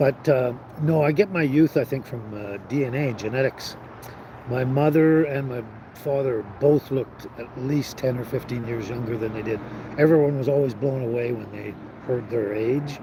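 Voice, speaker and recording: Over noticeable background noise, the speaker talks with a Canadian accent and ordinary pitch variation. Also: man, medium pitch for a man, moderate pace. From western Canada (British Columbia). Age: 60s. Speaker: live stream host. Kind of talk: casual chat. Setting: live stream.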